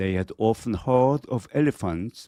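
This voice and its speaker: In a Korean accent, a man speaks at a very slow pace with lively intonation, his pitch fairly low and his tone dark and mellow. The recording is very clean with a silent background, the sound dry and close with no echo. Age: 50s. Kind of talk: children's story reading.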